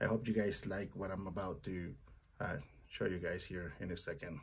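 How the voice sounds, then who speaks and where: A somewhat breathy man's voice, fairly low in pitch, at a moderate pace. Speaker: parts counter worker. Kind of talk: tutorial. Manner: hesitant, with fillers.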